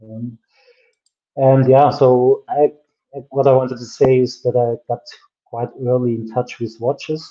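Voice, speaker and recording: A man with a German accent speaks at a fairly slow pace in a monotone, flat intonation. He takes long, frequent pauses against a quiet background. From Germany. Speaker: watch brand founder and designer. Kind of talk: interview on a livestream. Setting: video call. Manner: laughs often, relaxed. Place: home room.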